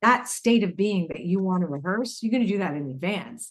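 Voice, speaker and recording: Somewhat breathy, a woman talks at a medium pitch and a fairly quick pace with lively intonation. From Canada. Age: 60s. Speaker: intuitive teacher and author. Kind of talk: interview conversation. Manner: halting, with false starts.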